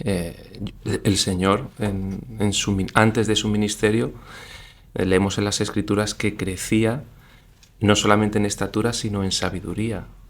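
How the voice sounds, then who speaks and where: At a fairly slow pace, a man talks with a fairly low pitch and fairly even intonation. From Spain, Granada. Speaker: business executive and leadership lecturer. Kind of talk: interview.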